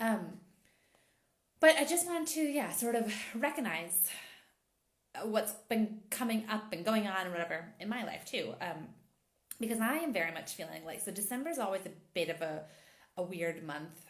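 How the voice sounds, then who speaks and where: In a space with audible room echo, a woman's voice makes very wide pitch swings and leaves long, frequent pauses. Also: medium pitch for a woman, moderate pace. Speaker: intimacy and empowerment coach. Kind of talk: casual chat.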